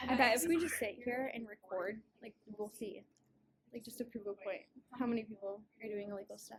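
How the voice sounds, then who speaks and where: A somewhat breathy woman's voice, fairly high in pitch, at a fairly quick pace with long, frequent pauses and big swings in loudness. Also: ordinary pitch variation. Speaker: podcast co-host. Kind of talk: casual chat. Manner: animated.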